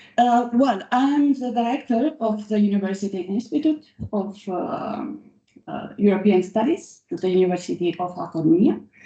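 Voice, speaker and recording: A woman with a medium pitch has a somewhat breathy, dark, mellow tone. She speaks fairly slowly with lively intonation. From Romania. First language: Romanian. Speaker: law professor. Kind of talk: conference speech. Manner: halting.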